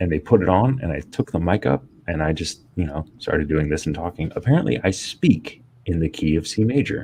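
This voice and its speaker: A man talks quietly at a fairly quick pace, his voice very deep and low with a dark, mellow tone. He sounds somewhat breathy, and his intonation is lively. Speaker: streamer host. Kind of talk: casual chat. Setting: home office, live stream panel.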